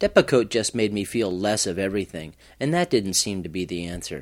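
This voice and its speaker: A man's unremarkable speaking voice at a moderate pace with lively intonation, on a very clean recording with a silent background. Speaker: psychiatric patient. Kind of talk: first-person narration.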